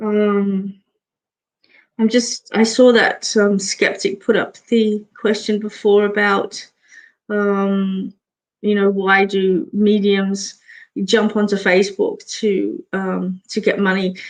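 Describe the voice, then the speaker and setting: Speaking at a very slow pace and a medium pitch, a woman with a slight English accent keeps a monotone, flat intonation. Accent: slight English accent picked up in the UK. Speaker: psychic medium and barber. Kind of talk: live stream Q&A chat. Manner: hesitant with many fillers.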